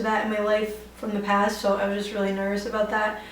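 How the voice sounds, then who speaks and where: A woman with an American accent talks at a very fast pace in a fairly high pitch. Room echo is audible, along with noticeable background noise. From New York City (Bronx). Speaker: beauty YouTuber. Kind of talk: casual Q&A vlog. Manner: chatty, many fillers like 'like' and 'um'.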